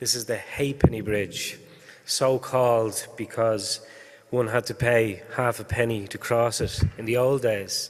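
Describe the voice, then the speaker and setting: A man with an Irish accent talks at a medium pitch and a fairly slow pace in a monotone, flat intonation. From Ireland. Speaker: higher education policy official. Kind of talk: conference talk. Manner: halting, many fillers.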